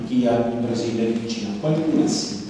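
A man's voice with very wide pitch swings, strong room echo and light background noise. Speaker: politician. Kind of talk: political speech. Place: hall.

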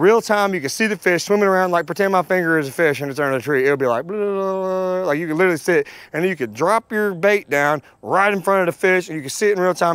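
Very fast pace and lively intonation from a man, with dry sound with no echo and a quiet background. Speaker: fishing YouTuber. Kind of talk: gear tutorial. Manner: casual, chatty. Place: garden. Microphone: lapel.

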